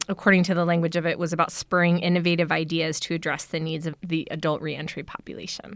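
On a very clean recording with a silent background, a woman with an American accent and a fairly low pitch talks at a fairly quick pace. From US East Coast and San Francisco Bay Area. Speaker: doula collective organizer and educator. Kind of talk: casual interview.

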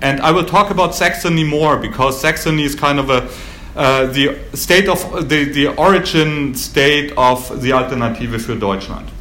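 A man with a German accent talks at a moderate pace and a fairly high pitch, with ordinary pitch variation. Noticeable background noise sits behind him. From Germany, Baden-Württemberg. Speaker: historian giving a talk. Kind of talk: lecture. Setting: stage with audience.

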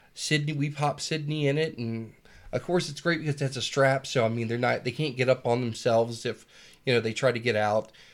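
With an American accent, a man speaks at a fairly quick pace and medium pitch in an unremarkable speaking voice with fairly even intonation, recorded very cleanly against a silent background. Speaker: podcast host. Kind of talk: casual chat.

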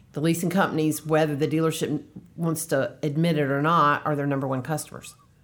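A woman speaks with a very deep, low pitch at a fairly quick pace. Her intonation is monotone and flat. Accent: American. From North Carolina. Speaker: lease rental consultant. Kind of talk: casual interview.

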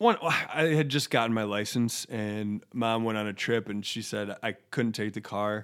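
A man speaks in a normal speaking voice at a medium pitch, with ordinary pitch variation. His pace is fairly slow, and he hardly pauses at all. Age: 30s. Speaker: podcast co-host. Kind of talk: casual chat.

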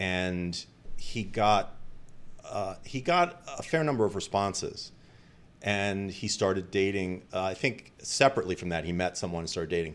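A man with a plain, everyday voice speaks at a moderate pace and fairly low pitch, with ordinary pitch variation. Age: 50s. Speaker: marketing consultant. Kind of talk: casual chat.

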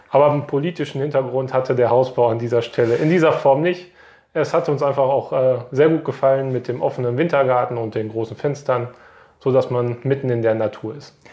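A man talks at a fairly quick pace in a medium pitch. His tone is dark and mellow, and his intonation stays fairly even. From Westphalia, Germany (near Paderborn). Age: 30s. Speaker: local councillor and electrical engineer. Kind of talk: interview.

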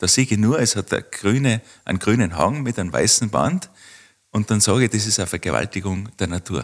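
This man has a normal speaking voice with a fairly low pitch. He talks at a fairly quick pace with lively intonation. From Austria, Tyrol (Kitzbühel district). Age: 40s. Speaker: winter tourism researcher. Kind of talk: interview.

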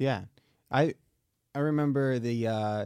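With an American accent and a dark, mellow tone, a man speaks with ordinary pitch variation on a very clean recording with a silent background and a dry, close sound with no echo. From Michigan, US. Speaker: podcast co-host.

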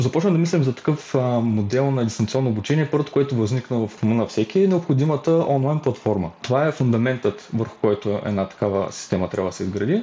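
A man talks at a fairly quick pace with hardly any pauses and very even loudness, in a plain, everyday voice. His pitch is medium and his intonation lively. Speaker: university student and youth activist. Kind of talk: podcast interview.

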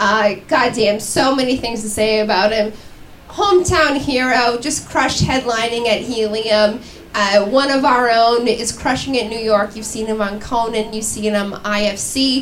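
Against noticeable background noise, a woman with a fairly high pitch speaks at a fairly slow pace. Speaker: comedy show host. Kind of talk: live stand-up hosting. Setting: stage with audience at a pub. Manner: animated.

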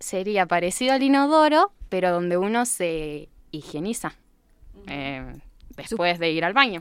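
Speaking at a fairly slow pace with very wide pitch swings, the voice comes through on a very clean recording with a silent background. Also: woman, medium pitch for a woman. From Argentina, San Nicolás, Buenos Aires province. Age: 20s. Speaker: English teacher. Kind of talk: interview.

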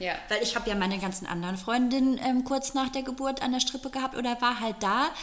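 Over noticeable background noise, a woman speaks very fast at a high pitch, with ordinary pitch variation. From rural Germany. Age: 30s. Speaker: podcast co-host. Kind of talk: casual chat.

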